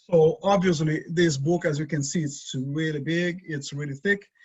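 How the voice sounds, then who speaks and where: A man with a Brazilian accent, fairly high in pitch, at a moderate pace with ordinary pitch variation. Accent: Brazilian Portuguese accent, noticeable. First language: Portuguese. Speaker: design teacher. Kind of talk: lecture. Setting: video call. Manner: halting.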